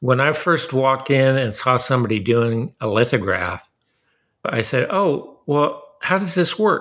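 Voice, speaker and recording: Lively intonation marks this man's speech, which stays very even in loudness at a fairly slow pace. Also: medium pitch for a man. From Southern California. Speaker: artist printmaker. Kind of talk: interview conversation. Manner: halting, repeats words.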